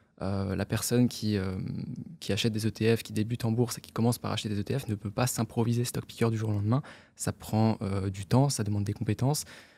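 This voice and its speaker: A man talks very fast in a fairly low, dark, mellow voice. His intonation stays fairly even. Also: very clean recording, silent background. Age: 20s. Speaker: investor and content creator. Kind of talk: casual interview conversation.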